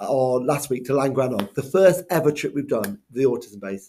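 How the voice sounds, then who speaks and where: A man with a Welsh accent and a fairly high pitch. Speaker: school head teacher. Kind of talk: school video update. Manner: casual, lots of ums.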